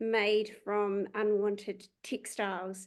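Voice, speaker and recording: A woman is speaking with a New Zealand accent. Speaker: company CEO. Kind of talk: product pitch.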